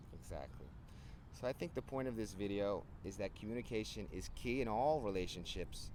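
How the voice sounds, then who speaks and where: Using an American accent, a man talks at a fairly quick pace with a fairly low pitch, vocal fry and lively intonation. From New Jersey (Hoboken, Hudson County). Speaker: English teacher and vlogger. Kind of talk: casual chat. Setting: outdoors, handheld camera.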